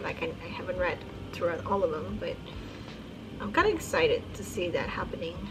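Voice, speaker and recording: A woman with a non-native accent at a moderate pace, amid noticeable background noise and audible room echo. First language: not English. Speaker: book YouTuber. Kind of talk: casual monologue. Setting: recorded at night. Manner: hesitant, filler-heavy.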